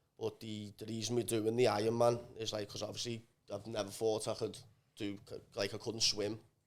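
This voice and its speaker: A man's medium-pitched voice with a Scouse accent, monotone and flat in intonation, at a fairly quick pace. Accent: Liverpool, called funny by others. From northern England, Liverpool. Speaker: amateur athlete training for Ironman. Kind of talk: casual chat.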